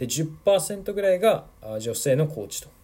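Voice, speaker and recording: A man talks fairly slowly, captured on a very clean recording against a silent background. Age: 20s. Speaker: football podcaster and youth coach. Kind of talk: solo podcast monologue. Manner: casual, with many fillers.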